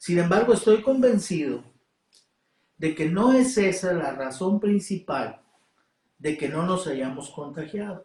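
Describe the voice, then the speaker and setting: Pausing long and often, a man speaks at a fairly slow pace with a high pitch and lively intonation. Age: 70s. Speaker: preacher. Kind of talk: sermon. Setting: online livestream. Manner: halting.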